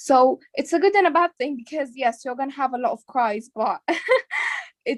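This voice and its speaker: A woman speaks with a non-native accent at a moderate pace. Her intonation is lively. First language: not English. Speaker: biomedical science student. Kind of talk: casual interview.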